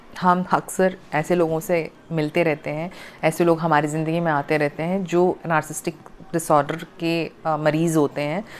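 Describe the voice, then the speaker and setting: The woman speaks in a very deep, low pitch with monotone, flat intonation. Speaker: spiritual healer and coach. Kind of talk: talk to camera, self-help explainer. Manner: frequent fillers and hesitations.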